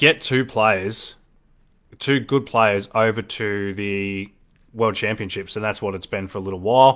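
The audio is very clean, and nothing can be heard in the background. The speaker is a man with an Australian accent. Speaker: darts podcast host. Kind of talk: casual solo commentary. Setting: live stream. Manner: animated.

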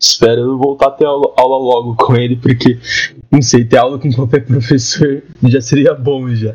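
Monotone, flat intonation from a man at a medium pitch and a fairly slow pace. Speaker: university student, podcast host. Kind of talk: casual chat.

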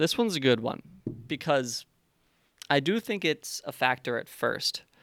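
In a normal speaking voice, a man talks at a moderate pace with fairly high pitch, and the sound is dry and close, with no echo. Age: 20s. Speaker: podcast host, business owner. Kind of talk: solo monologue, Q&A podcast. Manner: casual, many filler words.

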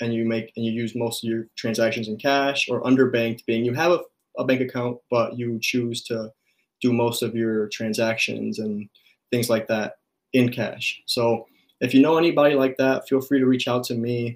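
A man with a normal speaking voice and an American accent talks at a moderate pace, medium pitch and fairly even intonation. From US Midwest, Chicago. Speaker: graduate student researcher. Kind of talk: interview.

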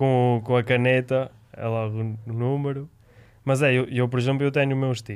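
In a flat monotone at a medium pitch, a man talks at a fairly slow pace. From Spain. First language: Spanish (speaking Portuguese). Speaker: roller hockey player. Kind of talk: casual chat.

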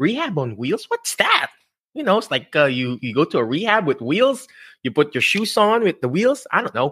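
Animated and bright with a sharp tone, a man speaks with a Filipino accent and very wide pitch swings on a very clean recording with a silent background. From Philippines. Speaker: physical therapist and career coach podcast host. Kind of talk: live-streamed interview show. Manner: animated, filler-heavy.

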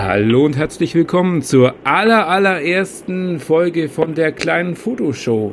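Using a plain, everyday voice, a man speaks fairly slowly and fairly high, with lively intonation, very even loudness and hardly any pauses. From Bavaria, Kempten im Allgäu. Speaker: podcast host, hobby photographer. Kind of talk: casual chat.

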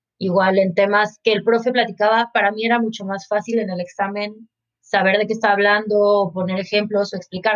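A woman speaks with a Mexican accent at a fairly quick pace. Her medium-pitched voice has monotone, flat intonation. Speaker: marketing professional, university student. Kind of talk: casual interview chat.

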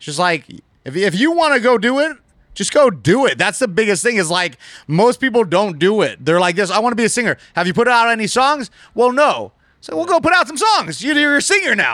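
A man with an American accent, high in pitch, bright and sharp in tone, with very wide pitch swings at a fairly quick pace, in a very clean recording with a silent background. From Las Vegas, US. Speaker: gaming streamer and influencer fighter. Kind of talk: casual chat. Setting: studio.

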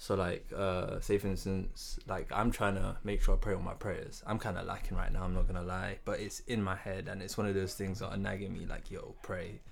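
Hardly pausing, a man speaks at a fairly quick pace. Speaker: co-host. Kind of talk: casual banter podcast chat.

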